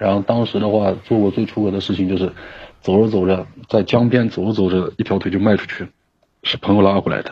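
A man with fairly low pitch talks at a fairly quick pace. His intonation is monotone and flat. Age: 30s. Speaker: caller. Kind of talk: personal testimony on call. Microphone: connection dropping.

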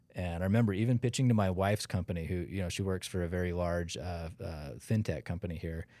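With an American accent and a dark, mellow tone, the speaker talks very fast with hardly any pauses and ordinary pitch variation. The recording is very clean, with a silent background. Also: man, very deep, low pitch for a man. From Utah, Salt Lake City. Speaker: outdoor gear company co-founder. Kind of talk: casual interview chat.

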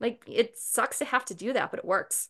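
A woman with an American accent and an ordinary speaking voice, moderate pace and ordinary pitch variation, against a quiet background. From Boston, Massachusetts. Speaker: naturopathic doctor and acupuncturist. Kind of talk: interview.

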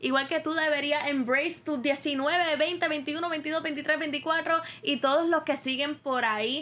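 A woman's high-pitched, raised and projected voice at a very slow pace. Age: 20s. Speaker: podcast host. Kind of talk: solo monologue podcast.

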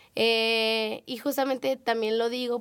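Recorded very cleanly against a silent background, a woman's voice is heard. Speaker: podcast host. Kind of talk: casual chat.

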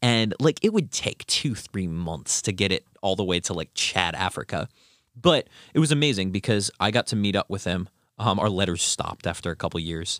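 A man with an ordinary speaking voice talks at a moderate pace and fairly low pitch, his intonation lively. The sound is dry and close with no echo, on a very clean recording with a silent background. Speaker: college student podcast host. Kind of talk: casual chat. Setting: studio.

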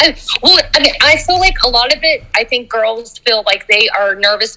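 There is noticeable background noise behind this woman's voice. She speaks at a moderate pace with very wide pitch swings. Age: 40s. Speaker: dance instructor. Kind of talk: casual interview. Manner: animated; loud.

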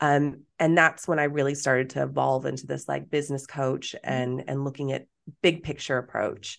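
A woman with an American accent, very deep and low in pitch, with vocal fry. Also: moderate pace. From Texas. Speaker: business coach. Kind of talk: casual chat. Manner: animated.

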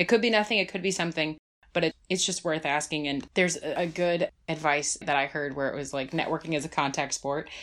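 In a very clean recording with a silent background, a speaker with an American accent goes at a very fast pace with ordinary pitch variation. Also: woman. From New Jersey. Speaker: nonprofit development director. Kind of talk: casual interview.

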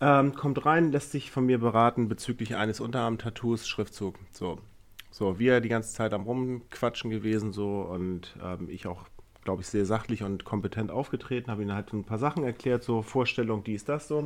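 A man with an ordinary speaking voice talks at a moderate pace and medium pitch, his pitch varying in an ordinary way. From Neumünster, northern Germany. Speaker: podcast co-host, tattoo artist. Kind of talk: casual chat.

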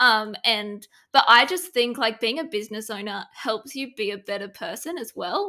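This woman has an Australian accent and a bright, sharp tone. She speaks at a moderate pace in a fairly high pitch. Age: 20s. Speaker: productivity strategist. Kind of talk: casual interview chat. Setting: video call.

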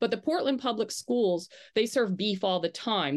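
Over a quiet background, a woman with an American accent and an unremarkable speaking voice talks at a moderate pace with ordinary pitch variation. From Maine, US. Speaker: journalist. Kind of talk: interview.

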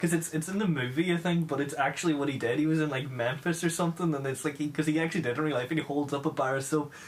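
Very fast and very even in loudness, a man's voice at a fairly high pitch carries fairly even intonation over noticeable background noise. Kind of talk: casual chat.

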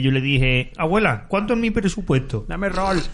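Very wide pitch swings from a man at a fairly quick pace, over noticeable background noise. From Andalusia. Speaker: podcast co-host. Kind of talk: casual chat.

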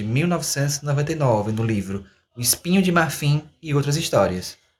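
A man with a fairly high pitch sounds somewhat breathy. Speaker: podcast host, university student. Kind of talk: educational podcast discussion.

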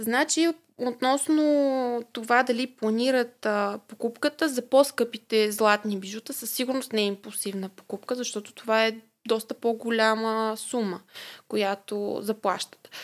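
Over a silent background in a very clean recording, a woman speaks at a fairly slow pace with fairly high pitch and fairly even intonation. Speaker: family business marketing manager. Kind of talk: interview. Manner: hesitant, many filler sounds.

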